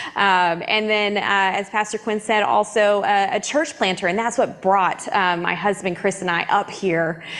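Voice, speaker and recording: Spoken with a Southern US accent and ordinary pitch variation, the clip carries noticeable background noise. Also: woman. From US South, East Tennessee. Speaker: climate scientist and church planter. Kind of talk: church talk. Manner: halting, many fillers.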